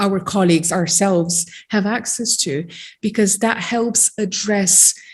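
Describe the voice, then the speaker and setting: At medium pitch and a moderate pace, a woman speaks in a somewhat breathy voice with fairly even intonation. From Romania (Transylvania). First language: Romanian. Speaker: genetic counselor and psychologist. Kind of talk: seminar talk. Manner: hesitant, many fillers.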